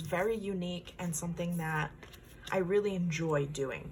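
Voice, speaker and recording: A woman talks at a medium pitch, and some echo from the room can be heard. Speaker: tarot card reader. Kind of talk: pick-a-card tarot reading. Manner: slow.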